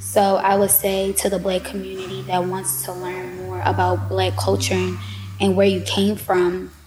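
A woman talks at a moderate speed in an American accent, noticeable noise in the background. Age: 20s. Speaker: psychology student. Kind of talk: casual chat. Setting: studio.

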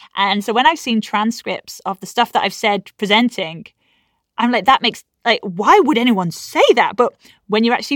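A woman's fairly high voice, an ordinary speaking voice, at a moderate pace with ordinary pitch variation, dry and close with no echo on a very clean recording with a silent background. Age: 30s. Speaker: science presenter and pyrotechnician. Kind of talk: interview.

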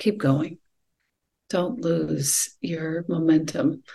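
With a dark, mellow tone and a somewhat breathy quality, a woman speaks at a fairly low pitch with ordinary pitch variation. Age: 50s. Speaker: yoga teacher and poet. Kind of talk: casual chat.

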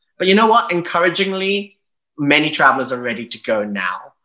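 A man speaks with a bright, sharp tone and lively intonation. He keeps a moderate pace. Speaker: travel journalist and publisher. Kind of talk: casual interview.

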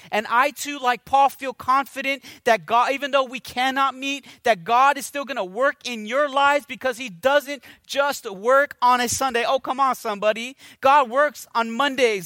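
A man with an extremely high pitch speaks in a raised, projected voice at a moderate pace, his tone bright, sharp and animated. The recording is very clean, with a silent background. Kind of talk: sermon. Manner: animated, exhortative preaching with call-and-response prompts; warm, earnest, conversational pastor delivery.

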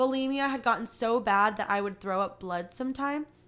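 A woman talks at a moderate pace in an ordinary speaking voice, her pitch fairly high with ordinary variation, in a very clean recording with a silent background. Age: 20s. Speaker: podcast host. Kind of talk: reading aloud; casual monologue. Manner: casual, filler-heavy.

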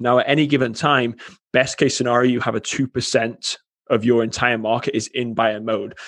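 In an American accent, a man at a medium pitch speaks with monotone, flat intonation. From England. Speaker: marketing agency CEO. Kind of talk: podcast interview.

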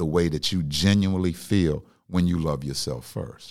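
Calm and very deep in pitch, a man speaks at a fairly slow pace on a very clean recording with a silent background. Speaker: comedian turned radio personality. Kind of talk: casual chat. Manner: calm, laid back.

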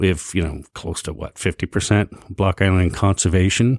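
The recording is very clean and the background silent. An American accent marks the speech. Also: man. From New Jersey. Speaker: wind farm manager. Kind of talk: casual chat. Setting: studio.

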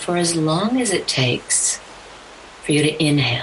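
A woman with a very deep, low pitch and ordinary pitch variation speaks in a calm, soothing tone over noticeable background noise. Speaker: podcast host and spiritual business coach. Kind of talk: guided meditation. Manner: slow, calm, soothing, with long pauses; gentle, instructional, soft-spoken.

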